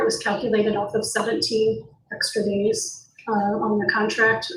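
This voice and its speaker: Fairly slow speech from a woman with a fairly high voice, set in audible room echo. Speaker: school district administrator. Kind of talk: board meeting report. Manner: halting.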